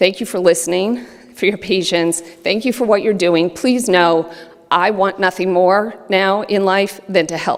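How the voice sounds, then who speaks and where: Against noticeable background noise, a woman speaks fairly slowly at a medium pitch with fairly even intonation. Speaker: award recipient. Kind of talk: acceptance speech.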